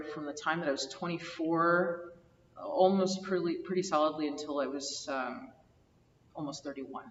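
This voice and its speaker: Against noticeable background noise, a woman speaks at a moderate pace. Her pitch is fairly low, with ordinary variation. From US Northeast, New Jersey. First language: Greek. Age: 30s. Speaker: oral history interviewee. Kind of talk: oral history interview.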